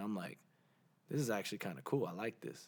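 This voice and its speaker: A man with a Southern US accent speaks at a fairly low pitch with lively intonation. The recording is very clean, the background silent. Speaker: podcast co-host. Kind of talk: casual chat.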